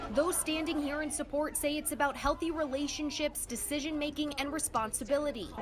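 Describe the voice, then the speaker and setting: A woman's high voice at a fairly quick pace, fairly even in intonation, with hardly any pauses and music in the background. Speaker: TV news reporter. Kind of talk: TV news report.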